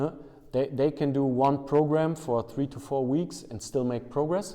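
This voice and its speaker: A man talks with a German accent. His intonation is fairly even. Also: fairly high pitch for a man, moderate pace. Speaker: strength and conditioning coach. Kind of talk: interview. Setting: basement weightlifting room. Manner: halting.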